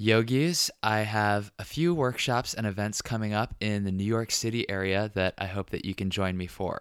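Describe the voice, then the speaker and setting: A man with an ordinary speaking voice talks at a fairly low pitch and a moderate pace, with ordinary pitch variation. He barely pauses, and the recording is very clean with a silent background. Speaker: podcast host.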